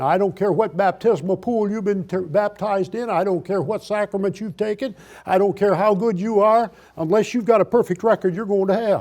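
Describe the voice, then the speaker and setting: A high-pitched male voice, fairly quick and fairly even in intonation. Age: 70s. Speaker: osteopathic doctor. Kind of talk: lecture. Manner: folksy, emphatic.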